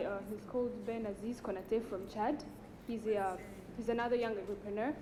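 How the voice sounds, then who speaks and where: Speaking very fast, a woman with a fairly high pitch keeps a fairly even intonation, with noticeable background noise and audible room echo around her. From Rwanda. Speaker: food processing entrepreneur. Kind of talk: audience testimony.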